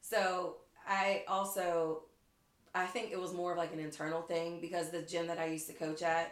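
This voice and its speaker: A woman with an American accent speaks at a moderate pace and a fairly low pitch. Her intonation is monotone and flat, broken by long, frequent pauses. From Western Pennsylvania (Pittsburgh area). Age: 30s. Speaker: cheerleading coach. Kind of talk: casual chat.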